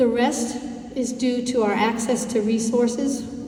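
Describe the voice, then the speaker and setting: Noticeable background noise and audible room echo surround a woman with an American accent. Her pitch is fairly high and her intonation monotone and flat. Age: 60s. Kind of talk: presentation to community group. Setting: dinner event with audience.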